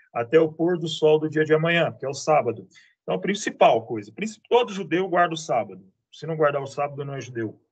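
Using an ordinary speaking voice, a man talks at a fairly quick pace with a fairly high pitch, lively intonation and big swings in loudness. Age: 40s. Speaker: teacher and antiques dealer. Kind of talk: casual interview.

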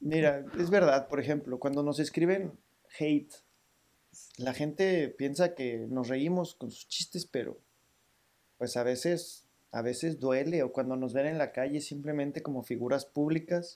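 A man speaks at a fairly slow pace in an ordinary speaking voice with a fairly high pitch. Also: fairly even intonation. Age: 40s. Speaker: podcast co-host. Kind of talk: casual chat.

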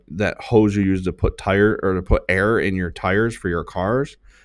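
The man has an unremarkable speaking voice with a fairly low pitch and fairly even intonation. He goes at a moderate pace on a very clean recording with a silent background. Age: 30s. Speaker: podcast host and marketing business owner. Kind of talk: solo podcast monologue; motivational talk.

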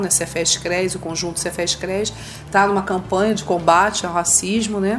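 Background noise can be clearly heard. Through it, the intonation holds fairly even. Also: woman. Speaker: social worker. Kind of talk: educational talk. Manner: halting, frequent fillers.

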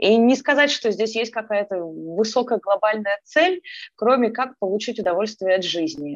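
A woman with an ordinary speaking voice, fairly high pitch, lively intonation and a moderate pace, against a quiet background with a dry, close sound and no echo. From Ukraine, Kyiv. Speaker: energy therapist and mindfulness coach. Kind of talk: casual interview.

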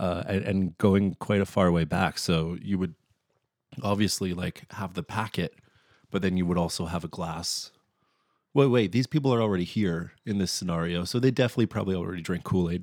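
At a moderate pace, a man with a very deep, low pitch speaks with ordinary pitch variation, in a dry, close sound with no echo on a very clean recording with a silent background. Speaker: solo podcast host. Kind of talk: casual solo monologue review. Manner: rambling with many fillers and hesitations.

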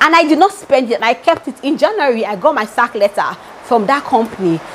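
A woman talks at a fairly quick pace in an animated tone, her high pitch making very wide swings. Noticeable background noise runs beneath her. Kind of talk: devotional teaching.

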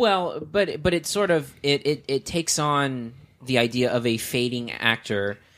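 An ordinary speaking voice from a man, fairly high in pitch, with lively intonation, a fairly slow pace and very even loudness, on a very clean recording with a silent background. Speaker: podcast host and film critic. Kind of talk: casual banter.

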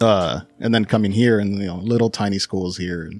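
This is a man with a normal speaking voice, fairly low pitch and ordinary pitch variation, in an American accent. The sound is dry and close with no echo, on a very clean recording with a silent background. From Los Angeles, California. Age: 30s. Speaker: cigar enthusiast. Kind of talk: interview. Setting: studio.

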